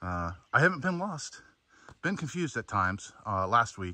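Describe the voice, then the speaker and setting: A man speaks at a moderate pace in a dry sound with no echo. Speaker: hiker vlogger. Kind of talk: casual vlog chat. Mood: relaxed, mildly annoyed then pleased. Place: forest. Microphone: phone near.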